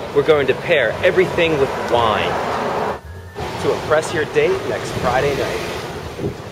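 A man with an upbeat, enthusiastic tone at a fairly slow pace, music in the background. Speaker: cookbook author and TV cooking show host. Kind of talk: TV cooking demonstration, upbeat host presenting a recipe to camera. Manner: upbeat, friendly, enthusiastic.

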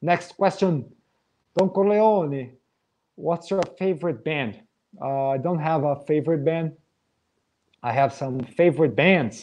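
A man speaks with a Portuguese accent at a fairly high pitch and a fairly slow pace. His pitch varies in an ordinary way, broken by long, frequent pauses. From Brazil. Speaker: metal drummer. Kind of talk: live Q&A. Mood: relaxed, friendly. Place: home room. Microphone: webcam.

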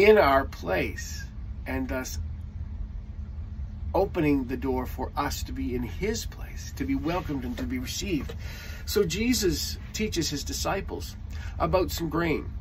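A man at a fairly slow pace with long, frequent pauses and light background noise. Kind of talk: sermon. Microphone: phone near.

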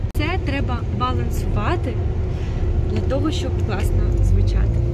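A woman speaks at a moderate pace while loud background noise plays around her. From Ukraine. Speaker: vocal teacher. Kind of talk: tutorial. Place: car. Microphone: phone near.

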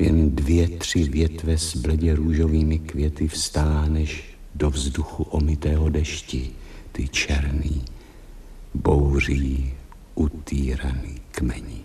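In a put-on character voice, a man growls out a hoarse, very deep, low pitch in a monotone, flat intonation over clear background noise. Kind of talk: poetic stage monologue. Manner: melancholy, brooding.

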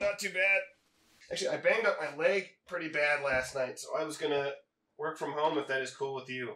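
Putting on a raspy character voice with audible echo, a man speaks at a fairly quick pace with a fairly high pitch and ordinary pitch variation. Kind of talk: scripted film dialogue, phone call. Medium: short film. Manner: understated, casual. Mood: downplaying injury.

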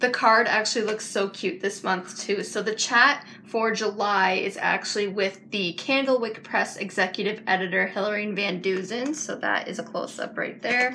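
Delivered at a moderate pace with fairly even intonation, this is an ordinary speaking voice over light background noise. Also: woman, medium pitch for a woman, hardly any pauses. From Canada. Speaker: book vlogger. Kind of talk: casual unboxing video. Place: home room. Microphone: phone near.

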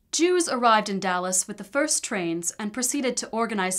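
A woman with a fairly high pitch and a plain, everyday voice talks at a fairly quick pace with lively intonation. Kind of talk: documentary narration.

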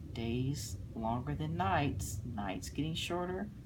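The vocal fry voice moves at a very slow pace over noticeable background noise. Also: woman. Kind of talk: read-aloud storytelling with explanations. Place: home room. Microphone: phone near.

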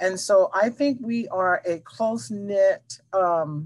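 A woman speaks in a somewhat breathy voice with very wide pitch swings. The background is quiet. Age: 60s. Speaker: housing navigator at a family nonprofit. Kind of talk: interview. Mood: warm, heartfelt. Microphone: headset.

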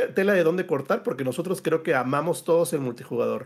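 A man talks with a Mexican accent. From Mexico. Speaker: gaming panelist; panelist. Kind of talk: casual debate panel. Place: home room.

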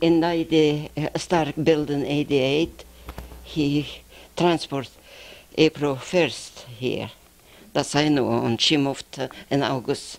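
With a Lithuanian accent, a woman speaks very slowly in a very deep, low pitch, her intonation fairly even and her pauses long and frequent. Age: 70s. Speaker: postwar immigrant. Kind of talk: interview. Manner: halting. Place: office. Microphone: handheld.

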